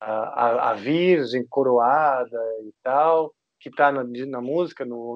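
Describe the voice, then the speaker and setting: This man has a normal speaking voice at medium pitch with ordinary pitch variation. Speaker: heavy metal guitarist. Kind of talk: casual interview.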